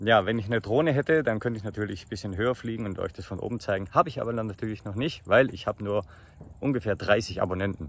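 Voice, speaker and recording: A man's fairly low voice at a very fast pace, with ordinary pitch variation and a dry sound with no echo. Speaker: vlogger. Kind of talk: casual vlog chat. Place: open country. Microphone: phone near.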